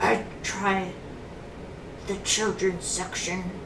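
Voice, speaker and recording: A woman does a put-on character voice, quiet and at a medium pitch. Loud background noise fills the recording. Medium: read story. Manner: very quiet, hushed.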